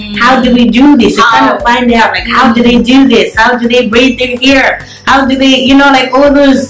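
Faint music plays behind a woman speaking at a high pitch with monotone, flat intonation and very even loudness. She keeps a moderate pace with hardly any pauses, and the room echo is audible. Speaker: guest. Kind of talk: casual chat interview answer. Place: home room. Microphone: phone near.

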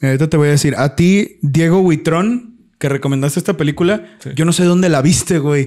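A man talks at a fairly quick pace. His pitch is fairly high, and his tone is dark and mellow. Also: ordinary pitch variation. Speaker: podcast co-host. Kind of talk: casual chat. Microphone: new microphone.

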